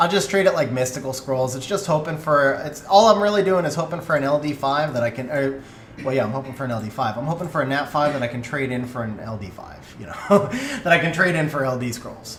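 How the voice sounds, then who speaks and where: Over noticeable background noise and audible room echo, a man with a fairly high pitch talks at a very fast pace with big swings in loudness. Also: ordinary pitch variation. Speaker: video game streamer. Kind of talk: live stream chat. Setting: live stream.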